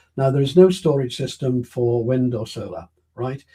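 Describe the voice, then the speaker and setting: His tone is dark and mellow. There is some breathiness in how he speaks. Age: 80s+. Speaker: interviewee on science and energy policy. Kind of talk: interview.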